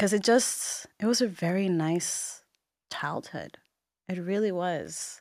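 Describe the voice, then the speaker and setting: A woman with a Puerto Rican accent, medium-pitched, very slow, with ordinary pitch variation and a very clean recording over a silent background. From Puerto Rico, Bayamon. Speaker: entrepreneur and social media personality. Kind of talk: interview conversation.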